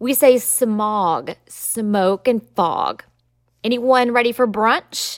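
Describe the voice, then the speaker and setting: A woman with a Southern US accent is heard in a dry, close sound with no echo on a very clean recording with a silent background. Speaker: lawyer and podcast host. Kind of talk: educational solo podcast monologue. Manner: conversational, explanatory.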